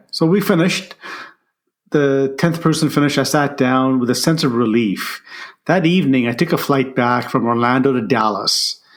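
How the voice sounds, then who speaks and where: In a very clean recording with a silent background, a man with a plain, everyday voice speaks at a fairly high pitch and a moderate pace, with very even loudness and ordinary pitch variation. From immigrated to Canada at age ten, grew up in Ottawa. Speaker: leadership coach and author. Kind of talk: interview storytelling.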